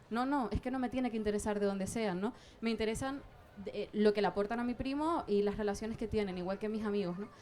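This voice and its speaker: Noticeable background noise is heard as a woman speaks with a Canarian accent at a very fast pace. Her voice is fairly high, with ordinary pitch variation. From southern Tenerife, Canary Islands. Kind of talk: public debate contribution. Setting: outdoor public square, sunny. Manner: halting, many fillers.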